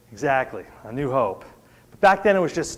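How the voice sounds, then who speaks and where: Recorded with audible room echo, a man with an American accent talks at a fairly quick pace with ordinary pitch variation. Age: 60s. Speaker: preacher. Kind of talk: sermon. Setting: church service.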